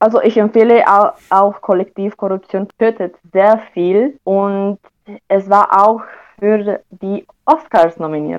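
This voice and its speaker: Speaking at a very slow pace with a Romanian accent, a woman uses a medium pitch with ordinary pitch variation. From Romania, Oradea. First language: Romanian (speaking German). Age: young. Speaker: university student. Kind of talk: interview. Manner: halting.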